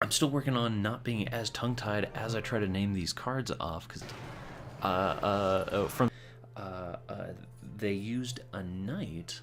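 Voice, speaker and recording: Music plays behind a man whose fairly low voice moves at a fairly slow pace with ordinary pitch variation. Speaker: gaming commentator. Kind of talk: game commentary. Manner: halting, stumbles over words.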